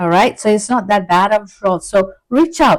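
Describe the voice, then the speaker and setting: Against a very clean recording with a silent background, a woman with an ordinary speaking voice talks at a fairly high pitch with lively intonation. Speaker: tarot reader and counseling psychologist. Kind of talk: tarot reading.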